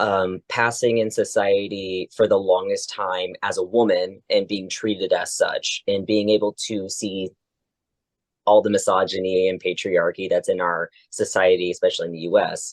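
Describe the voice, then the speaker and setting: A man at a moderate pace with an American accent, dry and close with no echo, over a quiet background. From Oklahoma, US. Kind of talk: casual interview. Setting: podcast.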